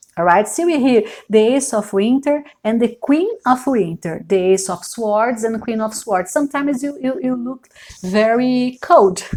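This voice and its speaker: Her voice is fairly high-pitched, in a Brazilian accent. The woman keeps a moderate pace and lively intonation. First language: Portuguese. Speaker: tarot reader. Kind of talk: tarot reading. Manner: halting, many fillers.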